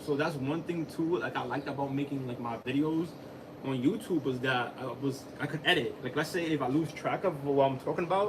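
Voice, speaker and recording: Fairly high in pitch, a man talks at a fairly quick pace. Noticeable background noise runs behind him. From Dominican heritage. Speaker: live streamer, tech deck content creator. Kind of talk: casual live stream chat. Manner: fast, halting.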